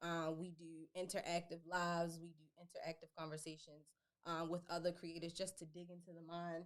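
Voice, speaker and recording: A woman's fairly low voice in an American accent, fairly quick in pace, with monotone, flat intonation and big swings in loudness. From Baltimore, Maryland, US. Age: 20s. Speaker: life coach and entrepreneur. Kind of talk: podcast interview.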